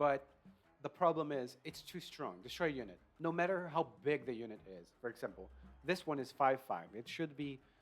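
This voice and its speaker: A man with a non-native accent and a fairly high pitch, lively intonation, big swings in loudness, a fairly quick pace broken by long, frequent pauses, and music in the background. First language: not English. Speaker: video game reviewer. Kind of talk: casual gameplay review. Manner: hesitant with fillers.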